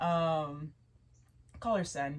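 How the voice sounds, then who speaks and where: A woman speaks in a somewhat breathy voice. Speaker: tarot reader. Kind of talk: casual chat.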